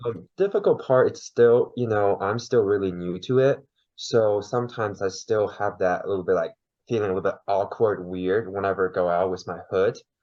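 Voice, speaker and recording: A man speaks with a Chinese accent at a moderate pace. His voice sits fairly low, and his intonation stays fairly even. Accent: Mandarin Chinese accent in English. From China. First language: Mandarin. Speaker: podcast guest. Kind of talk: interview.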